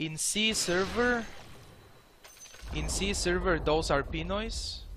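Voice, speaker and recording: A man speaks with a non-native accent, leaving long, frequent pauses. Noticeable background noise sits behind him. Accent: foreign accent, milder than before. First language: not English. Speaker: video game streamer. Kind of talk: live gameplay commentary. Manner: casual, hesitant.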